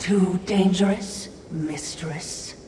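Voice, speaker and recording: The speaker uses a put-on character voice at a middle pitch. There is a slight echo and clear background noise. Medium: video game. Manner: dry, deferential.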